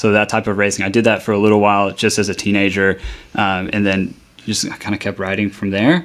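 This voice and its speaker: In a Texan accent, a man talks at a fairly quick pace with a fairly low pitch and monotone, flat intonation. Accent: Texan American English. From North Texas, Dallas-Fort Worth area. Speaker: bike shop owner. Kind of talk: radio interview.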